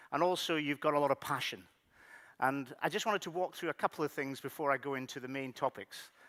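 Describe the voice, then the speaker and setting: A man with a Scottish accent speaks in a bright, sharp tone with fairly even intonation, in a dry, close sound with no echo on a very clean recording with a silent background. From Scotland, Highlands. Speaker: technology executive. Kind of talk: conference keynote.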